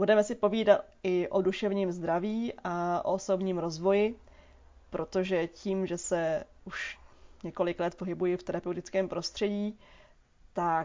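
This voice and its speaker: Her medium-pitched voice stays monotone and flat as the woman talks at a fairly slow pace. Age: 20s. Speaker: movement coach and dance therapist. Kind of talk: solo podcast monologue.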